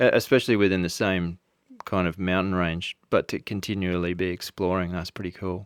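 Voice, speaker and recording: A man's very deep, low voice in an Australian accent, fairly quick and monotone, flat, in a dry, close sound with no echo and a very clean recording with a silent background. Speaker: podcast host. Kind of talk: podcast interview.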